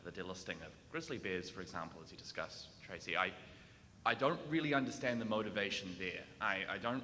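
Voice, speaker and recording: A man with a New Zealand accent speaks in a fairly low voice with lively intonation, big swings in loudness, and a bright, sharp tone, with audible room echo around him. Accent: New Zealand accent, noticeable. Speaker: audience member asking a question. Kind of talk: audience question. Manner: hesitant, many fillers.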